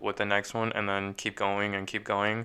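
Over a very clean recording with a silent background, a man speaks in a fairly low pitch and a bright, sharp tone with monotone, flat intonation. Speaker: podcast co-host and small business owner. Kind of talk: casual chat.

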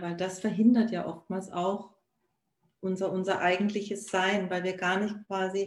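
A woman's voice with audible room echo. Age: 40s. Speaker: virtual assistant and life coach. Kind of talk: casual live-stream conversation. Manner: halting, many fillers.

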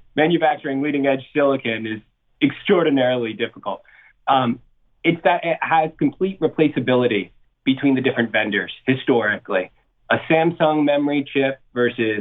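A man with an American accent speaks at a medium pitch and a moderate pace. He uses ordinary pitch variation in an ordinary speaking voice. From US Northeast, New Jersey. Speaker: portfolio manager. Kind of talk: interview.

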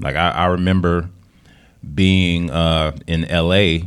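The speaker uses an American accent with monotone, flat intonation. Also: man. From Detroit. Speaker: radio DJ and DJ instructor. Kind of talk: casual interview. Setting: live audience at DJ academy.

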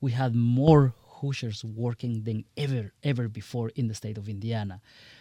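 A man with a Spanish accent, medium pitch and ordinary pitch variation, on a very clean recording with a silent background. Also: dry, close sound with no echo. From Guatemala. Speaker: congressional candidate. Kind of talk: radio interview. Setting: studio.

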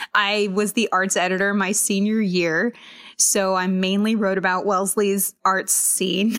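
Speaking at a fairly slow pace and medium pitch, a woman with an American accent keeps her loudness very even and her intonation monotone and flat. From Massachusetts and US West Coast. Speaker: TV biotech reporter. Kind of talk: interview.

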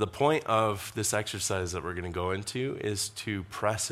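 Audible room echo accompanies speech delivered at a moderate speed. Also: man. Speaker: pastor. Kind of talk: sermon.

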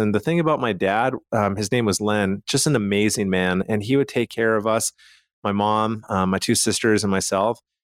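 A man talks at a moderate pace with a fairly low pitch in an ordinary speaking voice. The sound is dry and close, with no echo. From Canada, Calgary. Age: 40s. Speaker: financial advisor, radio show host. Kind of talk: casual radio interview. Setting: radio studio.

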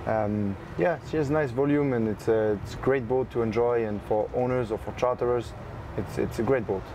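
A man with a French accent speaks at a medium pitch and a moderate pace, with ordinary pitch variation. Noticeable background noise runs underneath. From France, Paris area. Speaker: yacht broker. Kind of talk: interview. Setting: on board a yacht at a boat show.

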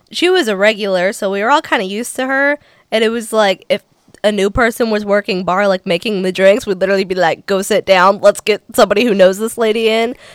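A woman's normal speaking voice, fairly high and fairly quick, with ordinary pitch variation, dry and close with no echo, on a very clean recording with a silent background. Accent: American. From Ohio (Cincinnati). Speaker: country singer and performer. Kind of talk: casual chat.

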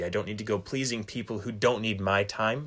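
An American-accented man at a fairly quick pace, medium pitch and fairly even intonation, on a very clean recording with a silent background. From Michigan. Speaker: graduate student. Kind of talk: casual chat. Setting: recording late at night.

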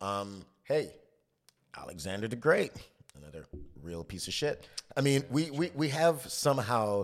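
With very wide pitch swings and long, frequent pauses, a man speaks at medium pitch. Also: moderate pace, big swings in loudness. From Trinidad. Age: 30s. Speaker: chef. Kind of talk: casual chat.

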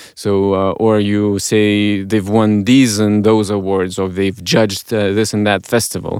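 Speaking with a Lithuanian accent, a man uses a fairly low pitch and monotone, flat intonation, with hardly any pauses. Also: fairly slow pace. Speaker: podcast host in advertising. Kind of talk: casual chat. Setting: studio.

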